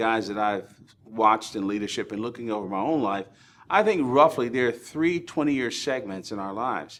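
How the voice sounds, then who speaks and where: Lively intonation marks this man's plain, everyday voice at a medium pitch and a fairly quick pace. The recording is very clean with a silent background. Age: 60s. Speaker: pastor. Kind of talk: talk on ministry leadership. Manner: casual, with many fillers and repetitions.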